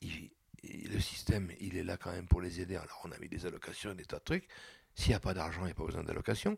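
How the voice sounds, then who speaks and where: A man with a very deep, low pitch and a somewhat breathy voice keeps his intonation fairly even while his loudness swings widely. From Réunion. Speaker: political activist. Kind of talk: interview. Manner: halting.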